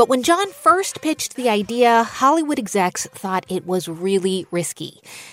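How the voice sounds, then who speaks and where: Very wide pitch swings at a moderate pace with hardly any pauses, over noticeable background noise. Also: woman, fairly high pitch for a woman. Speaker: radio host. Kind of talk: radio interview and narration.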